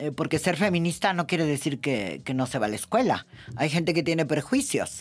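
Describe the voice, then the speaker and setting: Her intonation is lively as a woman speaks at a fairly quick pace and a very deep, low pitch. The recording is very clean with a silent background. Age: 70s. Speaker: podcast host and feminist journalist. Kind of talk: casual chat.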